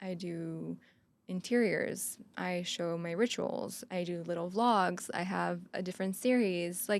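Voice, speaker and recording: A woman speaks in a Quebec accent at a fairly slow pace. The recording is very clean, with a silent background. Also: fairly low pitch for a woman, ordinary pitch variation. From Quebec, Montreal. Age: 30s. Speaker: photographer and content creator. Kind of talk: casual chat.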